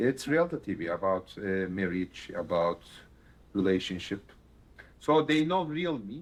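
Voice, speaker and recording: A man with a Turkish accent, fairly low in pitch, with very wide pitch swings, a fairly slow pace and long, frequent pauses. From Turkey. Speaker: stand-up comedian. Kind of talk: casual interview.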